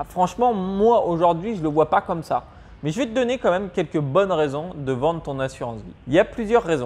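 A man with a high pitch talks at a fairly quick pace, his intonation lively. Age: 20s. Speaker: personal finance youtuber. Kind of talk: tutorial. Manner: casual, addresses viewer as tu. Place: home room.

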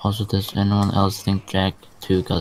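A man talks at a moderate pace in an unremarkable speaking voice. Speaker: gamer in stream voice chat. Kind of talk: casual chat.

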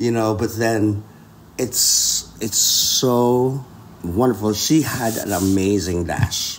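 Over light background noise, a man speaks at a very slow pace. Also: ordinary pitch variation. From Philippines. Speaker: concert pianist; podcast guest. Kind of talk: casual interview chat. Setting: in Austria, mountain ski town. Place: home room.

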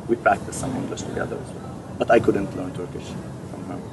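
A man at a very fast pace, dry sound with no echo, and noticeable background noise. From Syria. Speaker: refugee and interpreter. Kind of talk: interview. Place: garden. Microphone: camera far.

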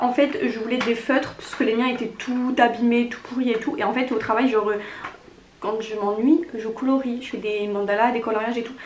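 A woman at a high pitch and moderate pace, with audible room echo and noticeable background noise. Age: 20s. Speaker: lifestyle YouTuber. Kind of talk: casual vlog, gift haul.

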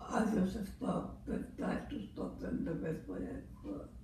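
There is audible room echo and light background noise as a woman speaks at a fairly slow pace. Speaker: mother. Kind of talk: interview answer. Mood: calm, reminiscing about raising children. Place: home room. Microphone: camera far.

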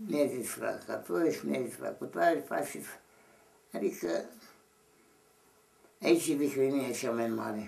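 A man with a medium-pitched voice and vocal fry talks at a fairly slow pace, with very wide pitch swings and long, frequent pauses. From Romania. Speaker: Orthodox monk elder. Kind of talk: interview answer. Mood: grave, earnest. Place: home room. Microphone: camera far.

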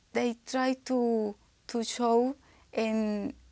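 A woman in a strong Spanish accent speaks with monotone, flat intonation. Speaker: IELTS candidate. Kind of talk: exam speaking answer. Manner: hesitant, frequent self-corrections and false starts. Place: office. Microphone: lapel.

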